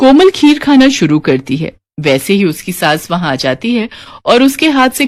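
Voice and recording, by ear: Her voice makes big pitch swings as this woman speaks.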